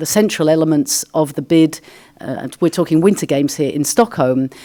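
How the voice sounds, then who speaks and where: A woman's very deep, low voice with an English accent, a dark, mellow tone and ordinary pitch variation. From England, London. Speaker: sports federation official. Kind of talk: conference Q&A answer. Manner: halting.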